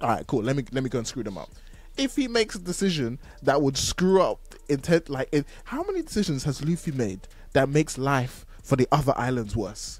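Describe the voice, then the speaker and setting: Faint music sits in the background. Over it, a man speaks at a fairly quick pace. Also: dry sound with no echo. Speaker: podcast host. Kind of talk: podcast discussion. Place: home room. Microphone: studio mic.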